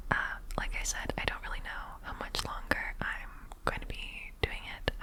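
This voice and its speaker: Someone is whispering. Noticeable background noise is present. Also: moderate pace. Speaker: ASMR creator and archaeology field tech. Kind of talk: ASMR whisper ramble, casual talk to camera. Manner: whispered.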